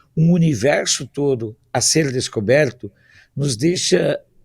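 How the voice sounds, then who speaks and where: A man speaks fairly slowly in a fairly high, somewhat breathy voice with lively intonation. The sound is dry and close with no echo, in a very clean recording with a silent background. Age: 60s. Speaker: political commentator. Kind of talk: talk show discussion.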